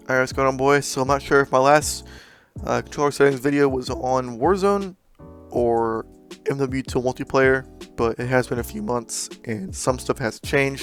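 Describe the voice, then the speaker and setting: Over music in the background, a man speaks at medium pitch. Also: ordinary pitch variation, moderate pace. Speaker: gaming YouTuber. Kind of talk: casual gaming tutorial talk. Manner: casual, hesitant with fillers.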